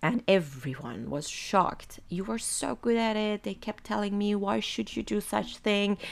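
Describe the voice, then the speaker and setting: A woman with an Iranian accent speaks at a medium pitch and a fairly slow pace on a very clean recording with a silent background. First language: Farsi. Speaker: podcast host. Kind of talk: personal monologue reading own text. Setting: home desk.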